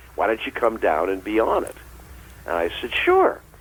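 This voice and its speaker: Spoken at a moderate pace, with noticeable background noise. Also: man. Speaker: voice actor, comedian. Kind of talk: interview answer. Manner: casual storytelling.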